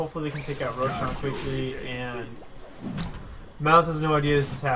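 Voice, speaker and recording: Over music in the background, a man with a fairly high pitch talks at a fairly quick pace with fairly even intonation. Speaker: esports caster. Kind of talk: live game commentary.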